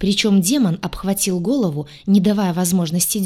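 In a natural voice, the text is read aloud.

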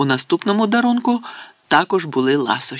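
The clip presents a natural reading voice. Words are read out in it.

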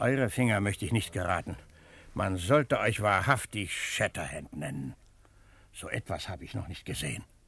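Using a put-on character voice, a man speaks at a moderate pace with a low pitch, a fairly bright tone, and a slightly husky edge. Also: ordinary pitch variation.

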